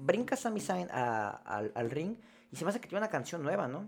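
A man with a Mexican accent and very wide pitch swings. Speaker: wrestling podcast host. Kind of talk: casual chat.

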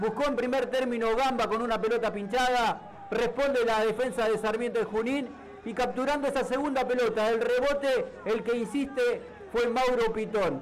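Over noticeable background noise, a man with an extremely high-pitched voice talks at a moderate pace, keeping his intonation fairly even and his loudness very even. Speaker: football commentator. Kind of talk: sports commentary, match analysis recap. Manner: fluent, formal.

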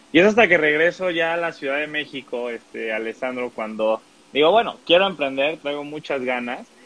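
At a moderate pace, a man talks with a Mexican accent. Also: fairly high pitch for a man, lively intonation. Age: 20s. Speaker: digital marketing agency owner. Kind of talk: interview.

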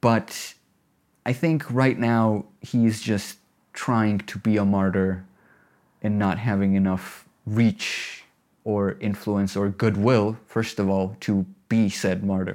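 On a very clean recording with a silent background, a man speaks at a very slow pace and fairly low pitch with fairly even intonation. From Georgia (Tbilisi and Batumi). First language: Georgian. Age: 20s. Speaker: video editor and filmmaker. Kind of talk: interview.

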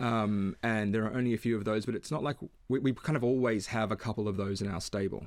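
A man with an Australian accent at a very fast pace, fairly low pitch and fairly even intonation. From Western Australia, Perth. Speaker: economics consultant. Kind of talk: interview.

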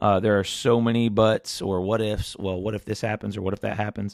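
An animated man with an American accent speaks at a fairly quick pace and a fairly low pitch. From Ohio, US Midwest. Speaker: podcast host and pastor. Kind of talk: casual solo podcast monologue. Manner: animated, filler-heavy.

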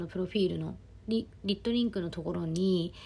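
The recording is very clean, and the background is silent. The speaker is a woman. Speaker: podcast host and life coach. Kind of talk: casual monologue. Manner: animated.

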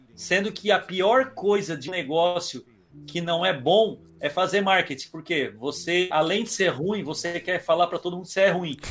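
This man's voice is high-pitched, with ordinary pitch variation and a moderate pace. The recording is very clean with a silent background. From Criciúma, Santa Catarina, Brazil. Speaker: entrepreneur and digital marketing expert. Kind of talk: podcast interview.

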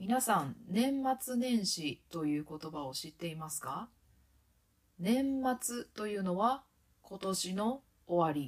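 A woman of medium pitch speaks very slowly. Her pitch swings very widely, and her loudness rises and falls sharply. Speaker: Japanese language teacher, podcast host. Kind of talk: podcast monologue for Japanese learners. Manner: slow, clear speech for learners.

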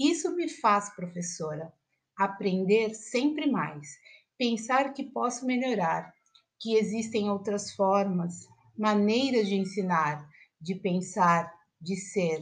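Her intonation lively, a woman talks very slowly in a somewhat breathy voice. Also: medium pitch for a woman. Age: 40s. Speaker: teacher. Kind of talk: personal essay read aloud.

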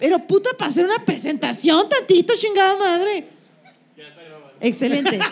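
A woman speaks at a fairly quick pace in an extremely high pitch, with very wide pitch swings and big swings in loudness. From Sonora, Mexico. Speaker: comedian, podcast co-host. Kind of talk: live comedy podcast chat. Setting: live show with audience.

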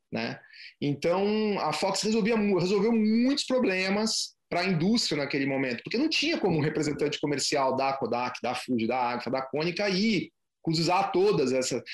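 The man's voice sits high in pitch. It moves through very wide pitch swings. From Brazil, Curitiba. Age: 40s. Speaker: photography business owner. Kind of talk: interview. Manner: halting, many repetitions.

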